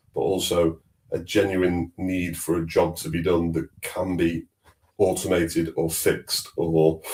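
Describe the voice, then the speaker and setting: A man's very deep, low, somewhat breathy voice with a slight Manchester accent, monotone and flat at a fairly slow pace. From northern England, Manchester. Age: 40s. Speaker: fintech executive. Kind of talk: casual interview chat.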